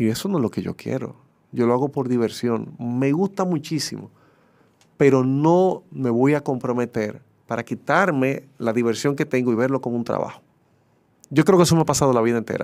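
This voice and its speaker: A man speaks in a plain, everyday voice at a medium pitch and a moderate pace. His pitch variation is ordinary, and the background is quiet. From Dominican Republic. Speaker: sports broadcaster; interview guest. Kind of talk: casual interview. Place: studio.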